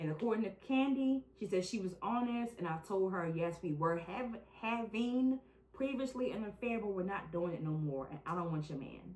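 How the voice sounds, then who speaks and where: Over noticeable background noise, a woman with a medium pitch talks at a moderate pace in an animated tone with lively intonation. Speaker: true crime podcast host. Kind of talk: casual chat.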